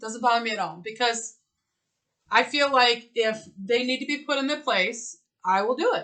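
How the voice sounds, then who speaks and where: A loud woman with a high pitch, at a moderate pace and with ordinary pitch variation. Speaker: spiritual podcast co-host. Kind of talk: casual chat. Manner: animated.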